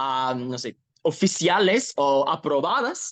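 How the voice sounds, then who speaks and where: The sound is dry and close with no echo. A man talks with an English accent and ordinary pitch variation. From Ohio, US. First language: English (speaking Spanish). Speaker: activist. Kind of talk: interview. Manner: halting, self-correcting.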